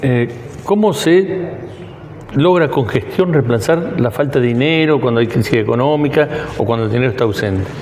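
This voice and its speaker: A man speaks at a moderate pace with lively intonation, a fairly high pitch and very even loudness. Noticeable background noise and audible room echo are present. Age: 60s. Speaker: interviewer. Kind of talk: interview.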